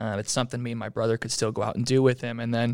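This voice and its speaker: A man with an American accent is heard on a very clean recording with a silent background. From Utah. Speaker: archery industry representative. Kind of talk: casual interview.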